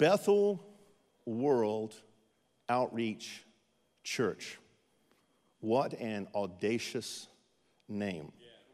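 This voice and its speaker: A man with an American accent at medium pitch and ordinary pitch variation, very slow pace with long, frequent pauses, on a very clean recording with a silent background. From eastern North Carolina. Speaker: missionary pastor. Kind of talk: sermon. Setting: church with audience.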